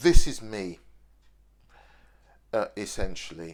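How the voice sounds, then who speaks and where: The speaker talks with lively intonation in a Birmingham accent. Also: man. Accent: Birmingham (Brummie) accent, still present. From Birmingham, English Midlands. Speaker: video diarist. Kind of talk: unscripted video diary monologue. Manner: hesitant, repeats words.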